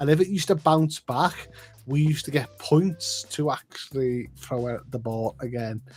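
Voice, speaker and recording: With noticeable background noise behind him, a man in a Liverpool accent speaks at a moderate pace, his pitch fairly high with ordinary variation. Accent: Liverpool (Scouse). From northwest England, Liverpool. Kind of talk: casual chat.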